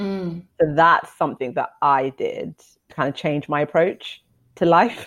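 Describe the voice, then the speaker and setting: A woman with a normal speaking voice talks at a fairly slow pace, her fairly low pitch showing ordinary pitch variation. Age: 30s. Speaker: podcast co-host. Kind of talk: casual chat.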